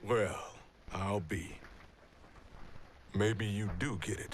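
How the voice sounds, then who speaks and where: A man puts on a raspy character voice at a fairly low pitch, with fairly even intonation. He goes at a very slow pace over clear background noise. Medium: video game. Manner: blunt, colloquial.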